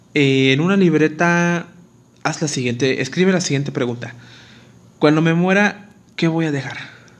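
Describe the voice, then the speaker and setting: A man talks at a moderate pace, leaving long, frequent pauses. Room echo is audible. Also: fairly high pitch for a man, ordinary pitch variation. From Mexico, Acapulco, Guerrero. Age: 20s. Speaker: dental student and podcaster. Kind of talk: casual monologue. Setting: alone at home.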